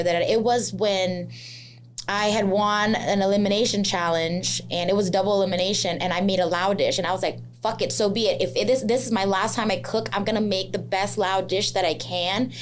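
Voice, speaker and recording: In a room with audible echo, a woman talks at a fairly quick pace with medium pitch and fairly even intonation. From Laos. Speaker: chef and social media creator. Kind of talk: casual interview. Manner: loud, flamboyant.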